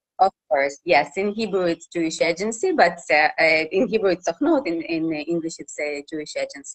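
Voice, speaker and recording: Speaking with a Russian accent, a woman talks at a moderate pace with hardly any pauses, a fairly low pitch and ordinary pitch variation, in a dry, close sound with no echo. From Russia, Khabarovsk. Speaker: journalist and TV reporter. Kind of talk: interview. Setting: live Facebook interview. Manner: halting.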